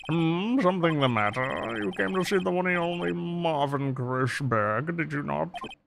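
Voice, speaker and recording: A man puts on a pompous character voice with fairly high pitch, at a moderate pace with hardly any pauses. Clear background noise sits behind him. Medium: game stream. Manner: pompous, old-fashioned, throat-clearing.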